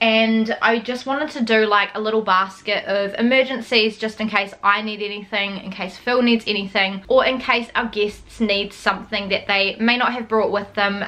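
The woman talks at a medium pace, keeping her intonation fairly even. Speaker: vlogger. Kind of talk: casual vlog chat. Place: home room. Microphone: camera far.

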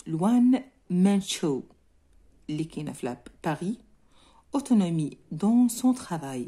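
A woman speaks very slowly at a medium pitch, with very wide pitch swings and long, frequent pauses. Her voice is somewhat breathy, with a dark, mellow tone. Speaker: French teacher. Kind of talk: lesson explaining a textbook reading. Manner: code-switching between French and Moroccan Arabic.

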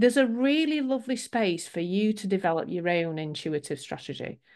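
Here a woman with a British accent speaks at a moderate pace. Her pitch swings very widely over a quiet background. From England. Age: 50s. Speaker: business coach. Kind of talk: webinar presentation. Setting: video call. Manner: warm, chatty. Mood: warm, encouraging. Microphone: video call.

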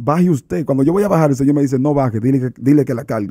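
A man speaks in a dark, mellow tone with ordinary pitch variation. Behind him the background is quiet. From Dominican Republic (San Cristóbal); Dominican Republic. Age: 30s. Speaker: evangelist preacher. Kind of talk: religious testimony interview. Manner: animated. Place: studio. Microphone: studio mic.

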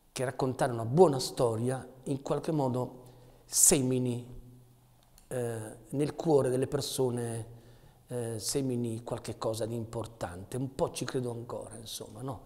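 A man speaks with a dark, mellow tone and fairly even intonation. He goes at a fairly slow pace with long, frequent pauses. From Potenza, southern Italy; moved to Asti at 13. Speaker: theatre actor, poet and artist. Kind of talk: interview answer. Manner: poetic, emotional. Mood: thoughtful, warm. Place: workshop.

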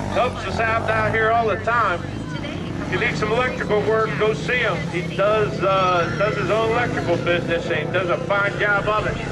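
Moderate-paced speech under loud background noise. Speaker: race announcer. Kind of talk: live race commentary. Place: open country.

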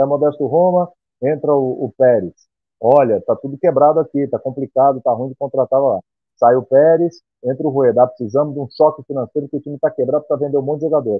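Over a quiet background, a man talks at a fairly quick pace and medium pitch, the sound dry with no echo. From Santos, São Paulo state, Brazil; São Paulo state, Brazil. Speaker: sports TV presenter; TV presenter. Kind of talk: casual chat, video call. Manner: animated. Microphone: earbuds.

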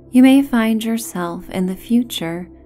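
Over music in the background, a woman speaks in a calm tone with very wide pitch swings. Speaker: meditation guide. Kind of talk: sleep story. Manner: calm, soft-spoken.

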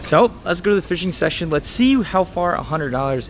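A man's intonation is lively as music plays behind his speech. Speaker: fishing vlogger. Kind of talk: casual vlog chat. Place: shop. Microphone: phone near.

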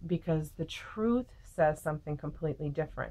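A woman speaks. Her pitch is very deep and low. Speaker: faith vlogger. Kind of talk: casual devotional talk to camera. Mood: calm, earnest. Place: home room. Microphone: webcam.

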